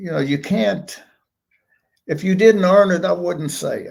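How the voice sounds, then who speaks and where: Here a man speaks with a high pitch. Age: 70s. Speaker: host's father, guest. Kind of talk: casual live-stream chat.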